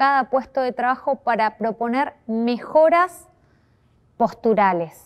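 A woman speaks at a very slow pace, her pitch fairly high. The background is quiet. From Argentina, Chubut province. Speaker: course instructor. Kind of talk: course presentation video. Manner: formal. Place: classroom.

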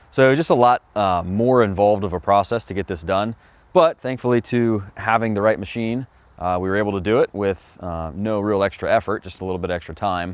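Using an unremarkable speaking voice, a man with fairly low pitch talks at a moderate pace with ordinary pitch variation, the sound dry with no echo. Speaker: presenter. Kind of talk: job recap commentary. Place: garden.

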